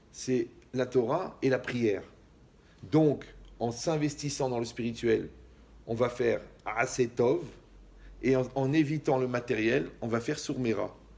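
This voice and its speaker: A man with a medium-pitched voice sounds animated, speaking at a fairly slow pace with ordinary pitch variation. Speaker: rabbi. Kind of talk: lecture.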